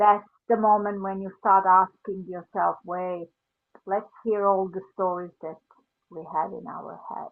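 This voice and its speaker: A woman's medium-pitched voice with a Serbian accent and monotone, flat intonation. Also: fairly slow pace, big swings in loudness. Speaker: life coach. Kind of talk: casual chat.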